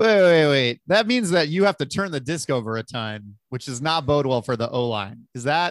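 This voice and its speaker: In a normal speaking voice, a man talks at a moderate pace and a fairly high pitch with lively intonation and hardly any pauses, the recording very clean with a silent background and a dry, close sound with no echo. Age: 20s. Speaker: podcast host. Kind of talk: casual interview.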